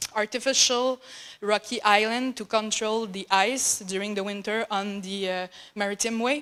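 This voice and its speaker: This woman talks with a French accent at a moderate pace. Her pitch is fairly high and her intonation fairly even. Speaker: graduate student researcher. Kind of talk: conference talk. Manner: halting.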